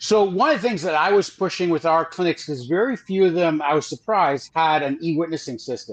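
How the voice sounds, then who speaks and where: With a high pitch and lively intonation, a man talks at a fairly quick pace with hardly any pauses. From Trinidad. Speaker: fertility industry advisor. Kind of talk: casual interview discussion.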